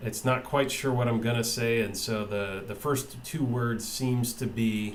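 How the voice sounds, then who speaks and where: Room echo is audible as a man speaks at a very slow pace with a medium pitch and fairly even intonation. Background noise is noticeable too. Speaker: tech video maker testing software. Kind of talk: software demo tutorial. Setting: webcam recording at computer. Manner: halting, many fillers and repeats. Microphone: built-in monitor mic, about two feet away.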